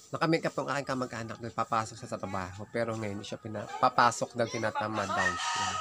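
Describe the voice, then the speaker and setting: Words come at a very fast pace with hardly any pauses while music plays in the background. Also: man. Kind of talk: casual vlog talk to camera.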